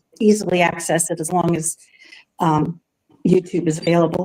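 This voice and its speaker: This woman has an unremarkable speaking voice at a medium pitch. She talks at a fairly quick pace. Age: 60s. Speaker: tarot reader and YouTuber. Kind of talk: self-introduction in live panel chat. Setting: video call livestream.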